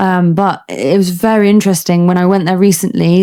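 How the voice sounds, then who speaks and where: A woman speaks with a British accent at a moderate pace. Her tone is dark and mellow, and her pitch sits in the medium range. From United Kingdom. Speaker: army doctor, ENT specialist. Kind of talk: interview answer.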